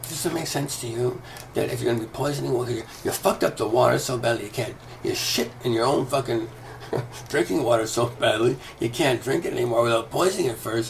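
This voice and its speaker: Against noticeable background noise, a man talks at a very fast pace with a medium pitch and ordinary pitch variation. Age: 60s. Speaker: video commentator, former yoga teacher. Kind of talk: casual monologue rant. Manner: hesitant fillers; animated, heated.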